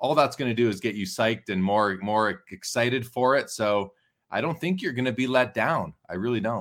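In a plain, everyday voice, a man speaks at a moderate pace with a medium pitch and ordinary pitch variation. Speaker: sports card hobby expert and auction host. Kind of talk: interview conversation.

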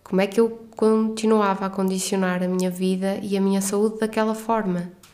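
A woman in a northern Portuguese accent, medium in pitch, with monotone, flat intonation. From northern Portugal. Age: 30s. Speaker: podcast host, doctor. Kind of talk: personal monologue.

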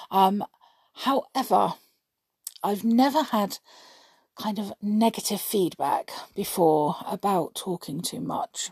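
A woman's somewhat breathy, medium-pitched voice moves at a very slow pace with long, frequent pauses and lively intonation. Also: dry, close sound with no echo. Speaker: podcaster. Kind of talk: casual monologue. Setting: at home, others asleep. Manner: quieter than usual; rambling, many fillers.

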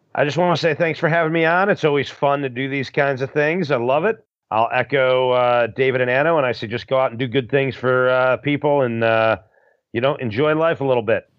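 With an American accent, a man talks at a fairly quick pace and a medium pitch, ordinary pitch variation and a normal speaking voice. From Chicago, Illinois. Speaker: trivia company owner and quiz guest. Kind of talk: trivia game chat, reading questions.

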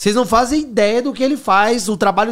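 Ordinary pitch variation marks this man's speech, which runs at a fairly quick pace. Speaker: podcast host. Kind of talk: casual chat.

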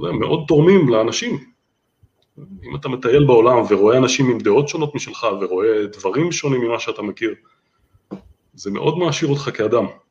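Fairly quick, somewhat breathy speech broken by long, frequent pauses. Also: man, medium pitch for a man, lively intonation. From Israel, Holon. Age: 40s. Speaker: landscape photographer. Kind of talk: interview.

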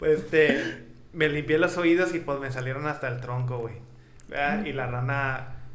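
Over noticeable background noise and audible room echo, a man with a Mexican accent speaks fairly slowly with a fairly high pitch and fairly even intonation. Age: 20s. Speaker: podcast co-host. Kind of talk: casual chat.

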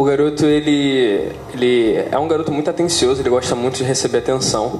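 Over noticeable background noise, a man talks at a moderate pace with fairly even intonation and a medium pitch. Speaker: podcast co-host. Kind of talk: casual chat.

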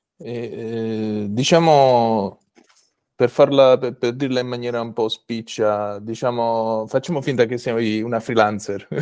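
A man with an ordinary speaking voice talks at a medium pitch and a fairly slow pace, with fairly even intonation. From Apulia, southern Italy. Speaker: podcast host. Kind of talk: interview conversation. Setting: video call.

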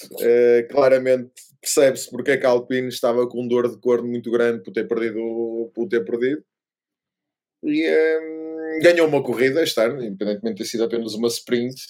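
A man in a European Portuguese accent with ordinary pitch variation. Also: medium pitch for a man, moderate pace. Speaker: F1 podcast co-host. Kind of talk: casual chat. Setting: remote recording.

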